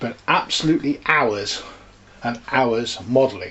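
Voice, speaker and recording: A man with an English accent at a fairly slow pace, with ordinary pitch variation. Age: 60s. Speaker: model railway hobbyist. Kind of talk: casual show-and-tell walkthrough. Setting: home landing room. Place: home room. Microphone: phone near.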